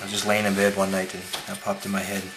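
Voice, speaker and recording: Over background music, a man mumbles very fast in a fairly low, monotone, flat voice, with audible room echo. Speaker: paper model designer. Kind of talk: tutorial. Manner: mumbling.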